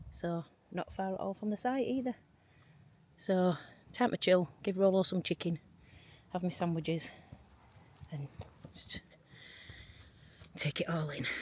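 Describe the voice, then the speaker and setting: A woman talks at medium pitch in a somewhat breathy voice, with ordinary pitch variation. Her pace is moderate, broken by long, frequent pauses. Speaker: travel vlogger. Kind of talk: casual vlog narration. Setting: in a car; outdoors. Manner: whispering.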